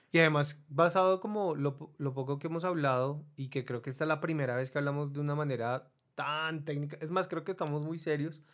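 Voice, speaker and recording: Fairly quick and with hardly any pauses, a plain, everyday voice keeps a fairly even intonation. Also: man, fairly high pitch for a man. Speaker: podcast host. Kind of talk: casual chat.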